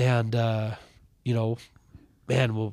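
The man's voice sits at a medium pitch. He speaks in a flat, monotone way. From Montana (Ronan). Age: 40s. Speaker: high school basketball coach. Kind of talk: casual interview. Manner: halting, many fillers and repeats.

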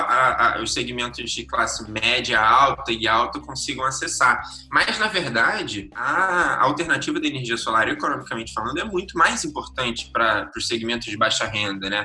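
Noticeable background noise sits behind a man talking at a moderate pace. He hardly pauses at all. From Brazil, Rio de Janeiro. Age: 20s. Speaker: economist, NGO director. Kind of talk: interview.

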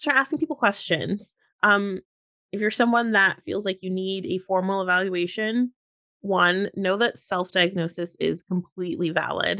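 A plain, everyday voice from a woman, medium in pitch with ordinary pitch variation, at a moderate pace, with a dry, close sound, no echo, and a quiet background. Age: 30s. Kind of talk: casual interview chat.

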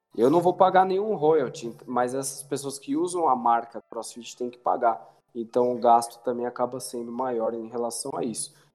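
A man speaks at a medium pitch with hardly any pauses, his loudness swinging widely. Music plays in the background. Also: ordinary pitch variation, moderate pace. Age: 20s. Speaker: personal trainer. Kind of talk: casual chat.

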